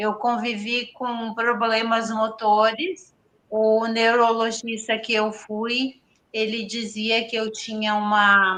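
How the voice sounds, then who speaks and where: A woman speaks very slowly at a fairly high pitch in a bright, sharp tone. Her intonation is monotone and flat. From Rio Grande do Sul interior, Brazil. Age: 60s. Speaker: person with multiple sclerosis sharing her story. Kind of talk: interview testimony. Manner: halting, with false starts.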